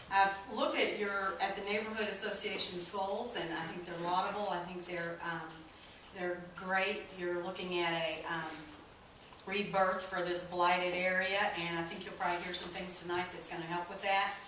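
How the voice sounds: A woman's fairly low, fairly bright voice with an American accent, little pitch movement, a moderate pace and audible room echo.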